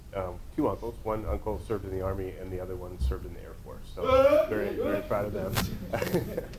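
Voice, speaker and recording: A man with an American accent at a fairly quick pace, hardly any pauses, noticeable background noise and audible room echo. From Nebraska. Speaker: suicide prevention trainer. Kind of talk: workshop presentation. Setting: training room with audience.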